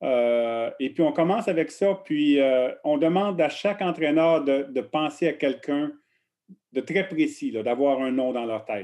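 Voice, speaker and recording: Lively intonation marks this man's very slow delivery. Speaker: coaching researcher. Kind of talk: interview. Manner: halting, repeats words.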